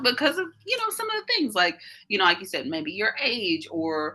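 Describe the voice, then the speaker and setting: A woman speaks with a Southern US accent in a warm, animated tone. Her pitch makes very wide swings. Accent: Southern American. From US South, Mississippi. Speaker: life coach. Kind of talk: group coaching call. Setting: audio-only video call.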